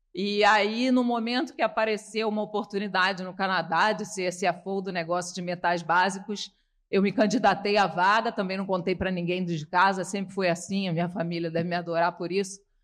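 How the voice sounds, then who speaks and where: The speaker has a Rio de Janeiro accent and fairly even intonation at a fairly quick pace. The background is quiet. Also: woman, medium pitch for a woman. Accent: carioca. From Rio de Janeiro, Brazil. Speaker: finance executive, former CFO. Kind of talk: podcast interview.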